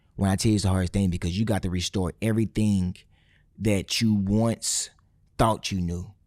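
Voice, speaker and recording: A man with a fairly low pitch speaks in an animated tone at a moderate pace, the very clean recording dry and close with no echo against a silent background. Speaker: dentist. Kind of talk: casual interview chat.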